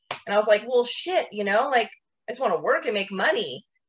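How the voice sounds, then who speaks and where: Very fast and animated, a woman speaks with lively intonation. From Washington State, US. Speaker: painting company owner. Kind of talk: podcast interview.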